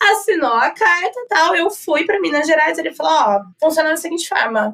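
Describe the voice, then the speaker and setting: A woman speaks in a high pitch at a moderate pace. Her pitch swings very widely. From Brazil, Campinas (São Paulo state). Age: 20s. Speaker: advertising professional. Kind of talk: podcast interview. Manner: talkative.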